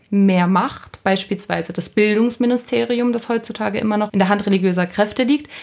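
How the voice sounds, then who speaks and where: Using a normal speaking voice, a woman talks at a medium pitch and varies it in an ordinary way. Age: 20s. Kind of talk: interview.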